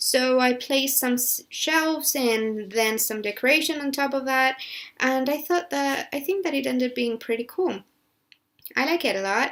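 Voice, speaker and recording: Her pitch is high, and this woman speaks at a moderate pace with ordinary pitch variation. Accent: Spanish. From Spain. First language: Spanish. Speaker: gaming YouTuber. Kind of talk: voiceover commentary on a build video. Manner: halting with many fillers and restarts.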